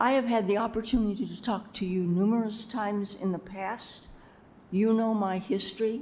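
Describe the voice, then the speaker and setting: A woman's somewhat breathy, dark, mellow voice at a medium pitch, with fairly even intonation and a moderate pace. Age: 80s+. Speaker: business owner, public commenter. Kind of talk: public comment at city meeting. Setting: city commission chambers.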